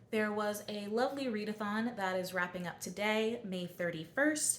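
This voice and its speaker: Lively intonation in an American accent at a moderate pace, with audible room echo and noticeable background noise. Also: woman. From US Mid-Atlantic, southern Delaware. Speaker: book vlogger. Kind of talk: casual vlog talk. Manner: casual, conversational with fillers.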